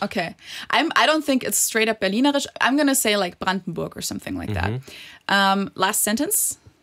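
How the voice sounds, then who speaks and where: A woman's fairly high, bright, sharp voice with vocal fry, lively intonation and a German accent, at a fairly quick pace. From Germany. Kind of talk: casual podcast conversation.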